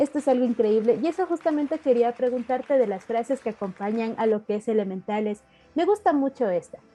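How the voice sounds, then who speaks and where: Over music in the background, a woman with a high pitch talks at a moderate pace with lively intonation. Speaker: radio host and interviewer. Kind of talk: radio interview, host questions.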